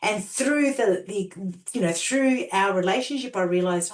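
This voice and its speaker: A woman with an Australian accent speaks at medium pitch. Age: 50s. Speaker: transformational coach and healer. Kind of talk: interview storytelling.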